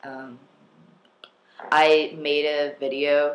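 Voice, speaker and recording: A man is talking. His pitch is fairly high. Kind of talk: casual talk to camera. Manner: hesitant, halting.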